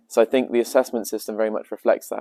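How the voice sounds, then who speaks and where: A man speaks very fast with a British accent and a dark, mellow tone. The recording is very clean with a silent background and a dry, close sound with no echo. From England, Devon. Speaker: language student. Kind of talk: interview.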